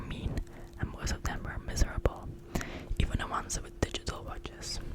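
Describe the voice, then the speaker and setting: Whispering comes at a fairly quick pace. Noticeable background noise runs underneath. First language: not English. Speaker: ASMR creator. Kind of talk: reading aloud; casual chat. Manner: soft-spoken.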